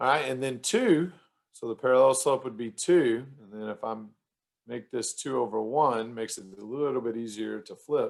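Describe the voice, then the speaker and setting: The loudness swings widely while the pitch varies in an ordinary way. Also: man, medium pitch for a man. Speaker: math teacher. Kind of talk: tutorial. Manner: fast; casual, hesitant fillers.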